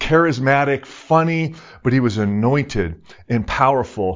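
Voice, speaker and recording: A man speaks in a normal speaking voice, pitched at medium, with ordinary pitch variation. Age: 50s. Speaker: pastor, former pro hockey player. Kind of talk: sermon.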